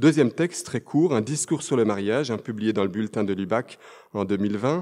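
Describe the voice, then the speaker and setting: At a moderate pace, a man speaks in a dark, mellow tone at medium pitch with ordinary pitch variation. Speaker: theologian; conference speaker. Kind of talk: lecture. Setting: conference hall with audience. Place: hall. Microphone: podium.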